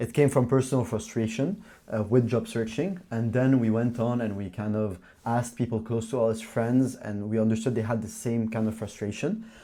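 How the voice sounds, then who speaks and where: A dark, mellow tone moves at a moderate pace, with fairly even intonation. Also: man, medium pitch for a man. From Lebanon. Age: 20s. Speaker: startup founder. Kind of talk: casual interview while walking. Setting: walking through a startup hub.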